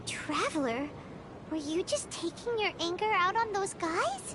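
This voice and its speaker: A put-on character voice at an extremely high pitch moves at a moderate pace. Loud background noise fills the recording. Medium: video game. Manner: chatty, expressive.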